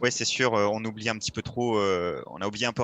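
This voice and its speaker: Fairly low in pitch, a man speaks with a bright, sharp tone and fairly even intonation. The sound is dry and close with no echo, against a quiet background. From France, Nièvre (Nevers, Burgundy). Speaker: professional cyclist. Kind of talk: interview.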